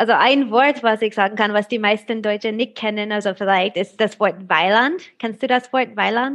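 A woman with an American accent talks at a moderate pace with hardly any pauses. Her fairly high pitch shows ordinary variation against a quiet background. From USA. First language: English (speaking German). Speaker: translator of old German handwriting. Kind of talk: interview. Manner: halting.

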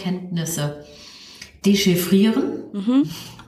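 Noticeable background noise and audible room echo accompany a woman speaking at a very slow pace in a medium-pitched voice. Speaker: ethnologist and career counsellor, podcast co-host. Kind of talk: casual chat. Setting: video call.

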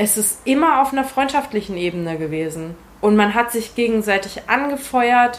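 A woman with lively intonation uses an ordinary speaking voice and keeps a moderate pace. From Hesse, Germany (Marburg). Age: 20s. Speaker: calisthenics athlete. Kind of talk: interview.

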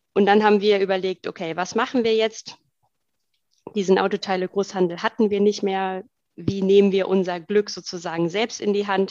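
At a moderate pace, a woman speaks in a monotone, flat intonation at medium pitch, the sound dry and close with no echo. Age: 30s. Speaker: co-founder of a sustainable online shop. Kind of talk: interview.

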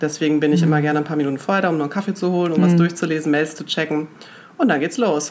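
Talking at a very fast pace, a woman uses fairly even intonation in a very deep, low voice. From Germany, Münster. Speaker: magazine executive. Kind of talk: casual interview.

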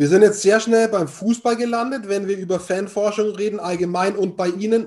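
Here a man speaks with a high pitch. His intonation is fairly even. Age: 40s. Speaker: podcast host. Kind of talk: interview.

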